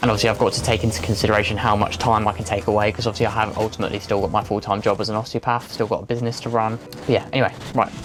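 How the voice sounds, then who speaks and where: A man with an English accent speaks at a very fast pace with hardly any pauses, his pitch fairly low and his intonation monotone and flat. Music plays in the background. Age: 20s. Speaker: amateur runner and vlogger. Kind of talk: vlog monologue.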